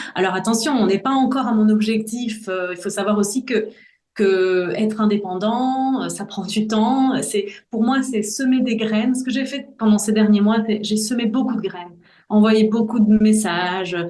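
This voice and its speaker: A somewhat breathy woman's voice at a fairly high pitch, fairly even in intonation and fairly slow, with audible room echo. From Brussels, Belgium. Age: 40s. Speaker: voice-over artist. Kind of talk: interview testimony. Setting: podcast.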